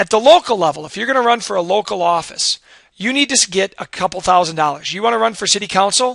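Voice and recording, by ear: This man talks at a fast pace in a high, raspy voice with vocal fry, a fairly bright tone and lively intonation.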